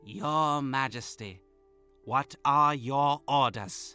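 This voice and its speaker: A man does a put-on character voice at medium pitch and a very slow pace. Faint music plays in the background. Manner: deferential.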